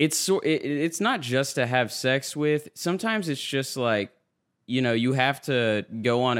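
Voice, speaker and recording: Against a silent background in a very clean recording, a man talks at a moderate pace. He has an ordinary speaking voice with ordinary pitch variation. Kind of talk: casual chat.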